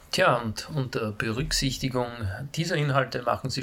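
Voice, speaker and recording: With audible room echo around him, a man with a Styrian accent talks at a medium pitch and a moderate pace, using ordinary pitch variation. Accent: Austrian German, Styrian. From Austria, Graz (Styria). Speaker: nurse and pain management lecturer. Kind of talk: lecture. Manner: formal.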